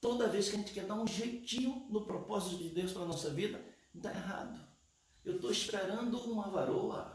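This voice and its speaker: Music in the background and audible room echo behind a man's high-pitched voice, at a moderate pace with ordinary pitch variation. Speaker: pastor. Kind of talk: sermon. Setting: live stream. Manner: animated.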